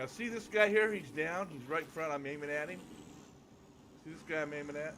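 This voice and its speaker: A man with a fairly high voice speaks at a fairly quick pace, his loudness swinging widely. His pitch varies in an ordinary way, and the room echo is audible. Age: 60s. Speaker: gamer. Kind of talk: casual chat.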